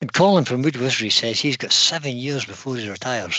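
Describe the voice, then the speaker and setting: A man with a normal speaking voice and a medium pitch talks with lively intonation. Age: 60s. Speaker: woodturning channel co-host reading live chat. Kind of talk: casual live stream chat.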